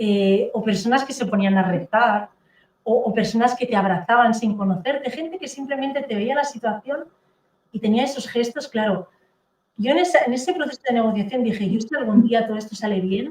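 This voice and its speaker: A woman with a Catalan accent, fairly high in pitch, at a fairly quick pace with ordinary pitch variation. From Catalonia, Spain. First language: Catalan (speaking Spanish). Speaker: therapist and author. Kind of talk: interview testimony.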